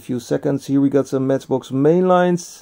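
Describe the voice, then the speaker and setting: Dark, mellow tone with ordinary pitch variation. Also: man, quiet background. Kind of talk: casual vlog chat. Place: shop. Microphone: phone near.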